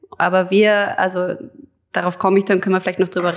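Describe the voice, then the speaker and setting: Her pitch is medium. The woman delivers everything in a monotone, flat intonation. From Hamburg, Germany, then Lower Austria from 2000. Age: 30s. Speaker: food producer and brand founder. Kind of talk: casual interview chat.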